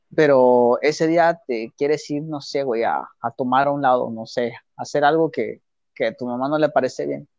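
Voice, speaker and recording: At a moderate pace, a man speaks in an unremarkable speaking voice with fairly even intonation. His pitch is fairly high, and the background is quiet. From Mexico. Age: 20s. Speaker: podcast co-host. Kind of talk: casual chat.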